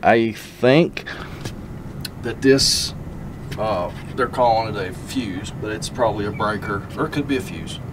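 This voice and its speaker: A man with an Appalachian accent talks at a fairly slow pace over noticeable background noise. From southern West Virginia. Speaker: RV repair technician and video host. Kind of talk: casual on-the-job narration.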